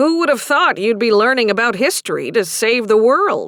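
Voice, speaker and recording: A woman puts on a character voice at a fairly high pitch and a moderate pace, in a very clean recording with a silent background. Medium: read story. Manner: warm, gently teasing.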